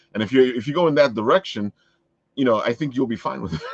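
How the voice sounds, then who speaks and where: The recording of this man with a New York accent is dry and close, with no echo. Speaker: podcast host. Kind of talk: casual chat.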